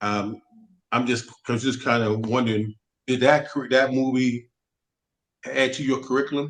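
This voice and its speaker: A man talks at a moderate pace with an American accent. His pitch sits in the medium range. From New York. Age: 60s. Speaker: audience member asking a question. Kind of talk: Q&A question on a group call. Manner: halting, with many restarts.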